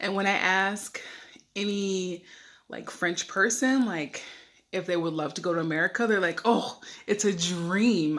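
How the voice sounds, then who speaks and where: Speaking at a fairly slow pace, a woman with an unremarkable speaking voice keeps a medium pitch and ordinary pitch variation. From USA. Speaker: expat travel vlogger. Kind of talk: casual vlog talk to camera. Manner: chatty, filler-heavy.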